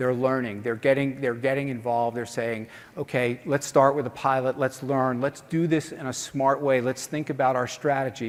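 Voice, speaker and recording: A man speaks with a New York accent at a medium pitch. His intonation is monotone and flat, with hardly any pauses. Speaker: conference organizer and speaker. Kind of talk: conference keynote talk. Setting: stage with audience. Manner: fast.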